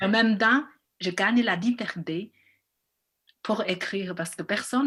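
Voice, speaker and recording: A woman talks fairly slowly, and her pitch varies in an ordinary way. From China. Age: 40s. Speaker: film director. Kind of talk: interview. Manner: halting.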